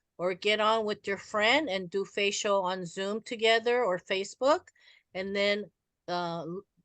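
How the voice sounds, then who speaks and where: A woman with a normal speaking voice talks at a moderate pace. The background is quiet and the sound is dry and close, with no echo. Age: 60s. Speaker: network marketing speaker. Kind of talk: motivational talk with Q&A. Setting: video call.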